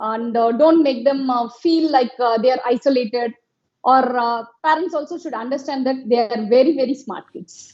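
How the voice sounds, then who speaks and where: Speaking in a Telugu accent, a woman uses a high pitch and lively intonation at a moderate pace. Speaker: educational therapist. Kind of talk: interview.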